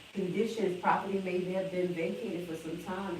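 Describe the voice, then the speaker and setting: Background noise is clearly audible, and the room echoes noticeably. Through it, a woman talks. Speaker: real estate seminar presenter. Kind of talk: lecture. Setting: library seminar room with live audience.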